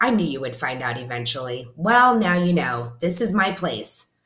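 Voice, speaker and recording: A woman uses a put-on character voice, very deep, low and raspy. Her pitch swings very widely at a moderate pace. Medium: read story. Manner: relaxed, self-assured.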